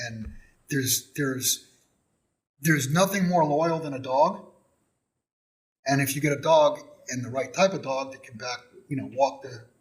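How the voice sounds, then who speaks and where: At a moderate pace, a man with an American accent talks in a fairly high, somewhat breathy voice with ordinary pitch variation. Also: long, frequent pauses, big swings in loudness. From Texas. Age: 60s. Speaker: gold and silver dealer. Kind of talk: casual interview chat. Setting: studio.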